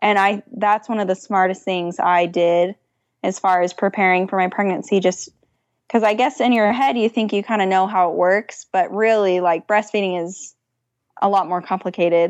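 Speaking with a plain, everyday voice at medium pitch, a woman keeps a moderate pace and fairly even intonation. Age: 20s. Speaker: small business owner. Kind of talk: interview.

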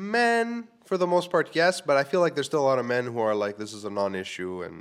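A man's fairly quick speech with very wide pitch swings, in a very clean recording over a silent background. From Quebec, Canada. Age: 30s. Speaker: podcast host and live comedy show host. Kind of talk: casual solo podcast monologue. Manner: rambling, casual, humorous, swears often.

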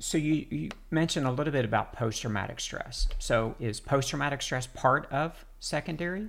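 A plain, everyday voice from a man, fairly high in pitch, at a moderate pace with hardly any pauses and ordinary pitch variation. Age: 50s. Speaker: podcast host, veteran paramedic. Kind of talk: interview conversation.

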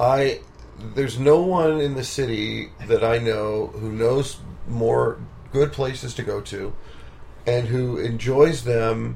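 This man talks at a very slow pace. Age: 40s. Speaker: musician and podcast host. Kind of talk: casual interview. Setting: home studio.

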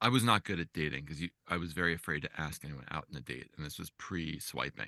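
At a fairly quick pace, a man speaks in a very deep, low voice with a bright, sharp tone, vocal fry and ordinary pitch variation, recorded dry and close with no echo. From New Jersey. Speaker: journalist and humor writer. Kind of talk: casual interview chat.

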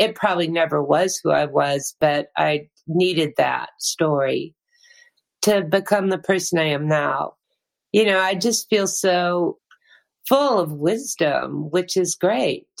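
Very slow and very even in loudness, a woman with a fairly low pitch speaks with vocal fry and ordinary pitch variation. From New Hampshire. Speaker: singer-songwriter. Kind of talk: casual interview chat.

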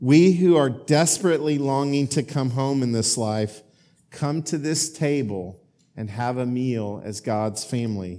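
A man with an American accent speaks at a medium pitch and a fairly slow pace, his dark, mellow tone showing ordinary pitch variation on a very clean recording with a silent background. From Oklahoma. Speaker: bishop. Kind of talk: sermon. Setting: church. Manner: hesitant fillers.

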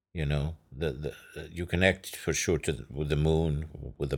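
A man with an Arabic accent speaks at a fairly slow pace. Vocal fry runs through his voice. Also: very clean recording, silent background. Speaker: massage therapist and poet. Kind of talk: casual interview chat.

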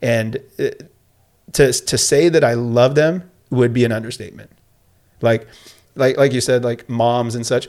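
A man with an American accent, a medium pitch and fairly even intonation. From Southern California, Escondido. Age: 40s. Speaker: PE teacher and coach. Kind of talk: casual interview. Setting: studio.

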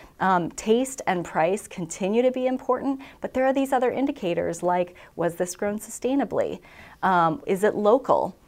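A normal speaking voice with an American accent, at a moderate pace with lively intonation, on a very clean recording with a silent background. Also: woman, fairly high pitch for a woman. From southeast Minnesota. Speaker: food industry communications director. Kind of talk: casual interview.

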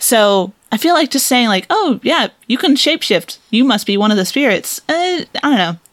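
Swinging widely in pitch, a woman speaks at a high pitch and a moderate pace with hardly any pauses. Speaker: guest. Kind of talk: casual chat. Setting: video call.

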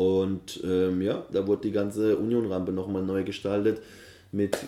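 The delivery holds a moderate pace. Its intonation stays monotone and flat. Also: man. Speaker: event organiser and MC. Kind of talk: casual interview. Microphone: poor recording quality.

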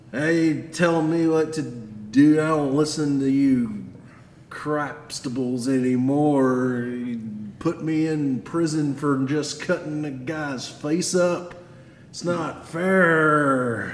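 With a slight echo, a man puts on a whiny character voice, fairly high in pitch, at a very slow pace with fairly even intonation. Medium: actual play. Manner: belligerent, whiny, aggrieved.

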